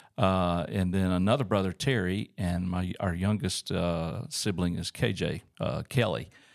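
With an Alabama accent, a man talks at a fairly slow pace in a very deep, low pitch, his intonation lively and his speech hardly pausing, on a very clean recording with a silent background. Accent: Southern US (Alabama). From US South, Auburn, Alabama. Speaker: church staff leader, pastor. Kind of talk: testimony in casual interview. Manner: hesitant, many uh fillers.

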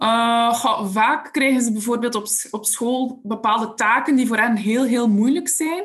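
This woman has a Flemish accent and a fairly high pitch. She speaks at a fairly slow pace, with ordinary pitch variation. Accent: Flemish Dutch. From Belgium, Ghent area. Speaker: special education support teacher. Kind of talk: interview.

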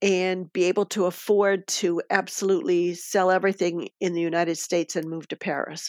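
In a Midwestern US accent, a woman speaks at a moderate pace with fairly even intonation on a very clean recording with a silent background. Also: dry, close sound with no echo. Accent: US Midwest. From Michigan, US. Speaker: retiree living abroad. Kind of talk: podcast interview.

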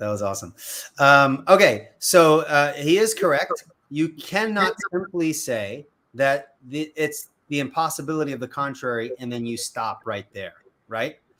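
A man with an American accent speaks in a bright, sharp tone at a fairly slow pace. His intonation is lively, with big swings in loudness. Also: fairly high pitch for a man. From US Northeast, Long Island, New York. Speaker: apologetics YouTuber. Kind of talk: casual chat. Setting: video call.

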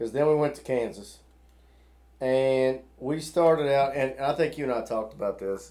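Delivered at a moderate pace, the voice has a dark, mellow tone. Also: man, fairly high pitch for a man, ordinary pitch variation. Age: 40s. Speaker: podcast co-host. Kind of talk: casual chat.

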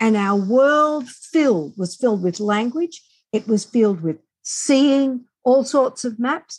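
A woman's high voice with an Australian accent, lively intonation and a very slow pace, on a very clean recording with a silent background. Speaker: author and reading specialist. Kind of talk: interview.

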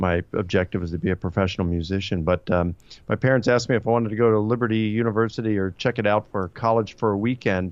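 A man with a Baltimore accent and a fairly low pitch at a very fast pace, hardly any pauses, fairly even intonation. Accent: American, Baltimore. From US, Baltimore. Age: 50s. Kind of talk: interview about history and theology.

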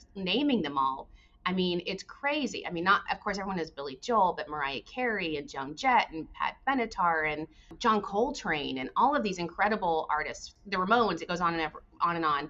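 A woman's medium-pitched voice with lively intonation, a fairly quick pace and noticeable background noise. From Arizona. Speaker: tourism organization executive. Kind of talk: podcast interview.

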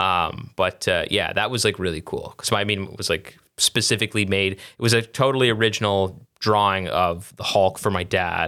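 This man has a fairly low pitch and a bright, sharp tone, speaking at a moderate pace with fairly even intonation. The recording is very clean, with a silent background. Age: 20s. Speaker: comedian and musician. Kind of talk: casual chat.

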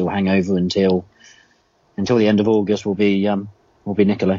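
Speaking very fast, a man with a southern English accent uses a very deep, low pitch. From England. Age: 30s. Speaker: football fan. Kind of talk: casual chat.

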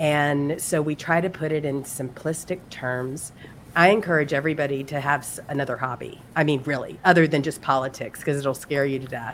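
Over noticeable background noise, a woman speaks at a fairly quick pace with fairly even intonation. Her pitch is very deep and low. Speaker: podcast co-host.

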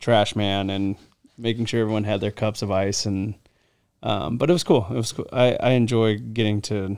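A man speaks at a moderate pace with a fairly low pitch, fairly even intonation and an ordinary speaking voice. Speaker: baseball player. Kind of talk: casual chat. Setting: video recording.

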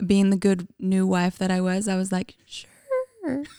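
A woman with a Canadian accent speaks at a very slow pace in a dark, mellow tone. The sound is dry and close with no echo, on a very clean recording with a silent background. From Canada, Calgary, Alberta. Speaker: podcast co-host. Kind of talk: casual chat.

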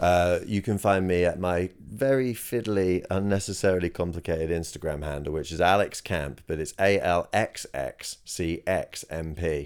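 In a very clean recording with a silent background, a man with a very deep, low voice speaks at a moderate pace, with ordinary pitch variation and hardly any pauses. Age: 30s. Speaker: musical comedian. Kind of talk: casual chat.

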